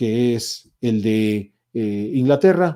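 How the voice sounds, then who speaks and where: This man has a dark, mellow tone. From Spain. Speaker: historian. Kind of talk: lecture. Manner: animated.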